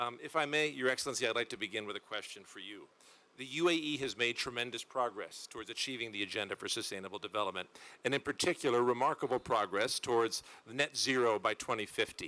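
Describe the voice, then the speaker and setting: A man talks at a very fast pace in a medium pitch. His tone is bright and sharp, with ordinary pitch variation. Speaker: panel moderator. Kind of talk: panel moderation.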